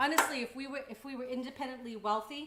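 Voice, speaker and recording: The speaker talks at a very fast pace with an American accent and ordinary pitch variation, over noticeable background noise. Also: woman. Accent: Boston accent with some Texas y'all. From Boston area, US. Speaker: cooking show host. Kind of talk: live cooking stream chat. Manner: casual, chatty.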